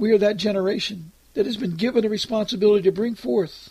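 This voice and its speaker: Speaking at a very fast pace, a man uses a high pitch and ordinary pitch variation. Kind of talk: fervent group prayer, led aloud on a conference call. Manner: earnest, pleading, repetitive, with "dear Lord" between phrases; solemn, rhythmic, urgent when warning of coming troubles.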